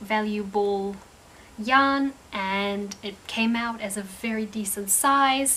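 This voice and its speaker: A woman with a New Zealand accent, a bright, sharp tone and medium pitch, at a very slow pace. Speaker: crochet crafter and vlogger. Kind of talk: casual craft vlog. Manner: casual, hesitant with fillers and repeats.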